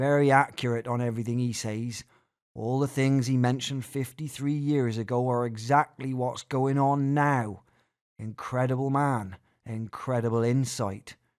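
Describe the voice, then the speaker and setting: Very clean recording with a silent background: a man, a normal speaking voice, medium pitch, fairly even intonation, moderate pace. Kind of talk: narration reading a speech text.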